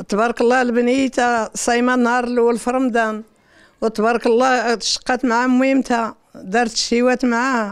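Against a quiet background, a woman with a Moroccan accent speaks at a moderate pace. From Morocco. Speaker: family member. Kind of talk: interview; interview answer. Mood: proud, warm. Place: home room. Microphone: handheld.

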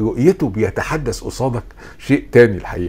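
A man with an Egyptian accent talks at a moderate pace with lively intonation. Noticeable background noise runs underneath. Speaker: philosophy lecturer. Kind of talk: lecture.

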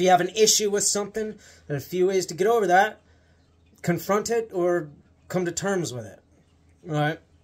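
A man with a high voice and an American accent speaks at a moderate pace in an animated tone, with ordinary pitch variation, big swings in loudness, and long, frequent pauses. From Montana, US. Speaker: YouTuber. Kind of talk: casual rant to camera. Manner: animated, sarcastic. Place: home room. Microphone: phone near.

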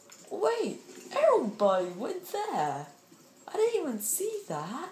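Someone talks at a very slow pace amid light background noise and audible room echo. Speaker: gamer. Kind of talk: gameplay commentary. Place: home room.

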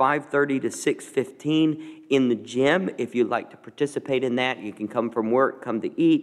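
At a moderate pace, a man speaks with fairly even intonation. His is a normal speaking voice, medium in pitch. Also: quiet background. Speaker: pastor. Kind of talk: church announcements. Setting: church. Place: church. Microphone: podium.

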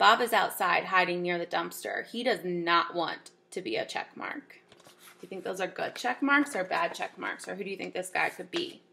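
A woman speaks in an animated tone at a moderate pace with hardly any pauses. Noticeable background noise is heard. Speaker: teacher reading to children. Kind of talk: reading aloud. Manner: animated, expressive storytelling.

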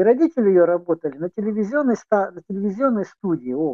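Against a quiet background, a man with a high voice speaks at a fairly quick pace. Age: 60s. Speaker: chat roulette stranger. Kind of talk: casual chat. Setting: video chat. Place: home room. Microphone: video call.

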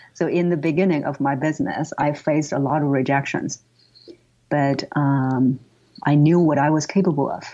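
A woman with a Chinese accent speaks at a moderate pace in a very deep, low pitch, her tone dark and mellow and her intonation monotone and flat. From northern China, Tianjin. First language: Mandarin Chinese. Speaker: voice coach. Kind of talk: interview.

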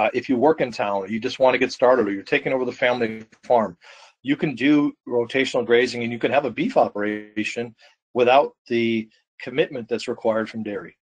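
A man with an American accent has an ordinary speaking voice, medium in pitch with ordinary pitch variation. He speaks at a moderate pace against a quiet background. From Wisconsin. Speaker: farmer and co-op manager; webinar presenter. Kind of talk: webinar presentation. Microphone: video call.

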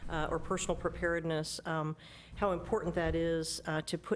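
A woman speaks at a fairly quick pace with a fairly low pitch. Light background noise sits behind her. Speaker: presenter. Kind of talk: meeting report. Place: hall. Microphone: podium.

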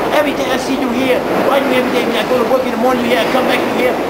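There is loud background noise behind a man speaking. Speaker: street preacher. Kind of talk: interview answer. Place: station. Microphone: phone near.

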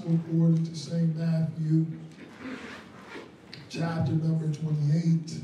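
A man's flat, monotone delivery at a very slow pace, with audible room echo and light background noise. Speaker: preacher. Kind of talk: sermon. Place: church.

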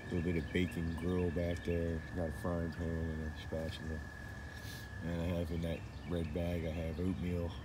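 There is noticeable background noise behind a man's voice. The sound is dry, with no echo. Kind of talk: casual vlog chat. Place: forest. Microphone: phone near.

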